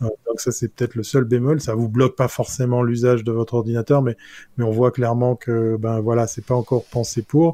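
On a very clean recording with a silent background and a dry, close sound with no echo, a man speaks at a fairly quick pace and medium pitch in a monotone, flat intonation with a dark, mellow tone. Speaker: tech columnist. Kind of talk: casual panel discussion.

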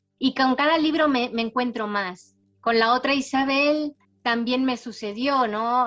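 A woman has a plain, everyday voice, fairly high in pitch. She speaks at a fairly slow pace with ordinary pitch variation. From Spain and Panama, raised partly in Latin America. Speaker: novelist. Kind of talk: interview.

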